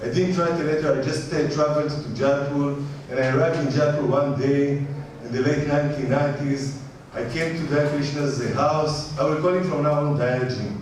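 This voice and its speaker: A man's fairly high-pitched, monotone, flat delivery at a moderate pace, with noticeable background noise and audible room echo. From Israel. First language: Hebrew. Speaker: visiting philosophy scholar. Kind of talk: lecture.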